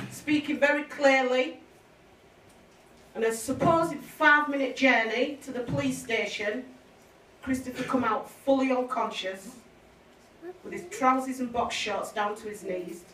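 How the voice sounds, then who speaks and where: A woman's high voice with big swings in loudness, long, frequent pauses and audible room echo. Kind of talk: public speech. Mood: grave, emotional account. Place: hall. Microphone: camera far.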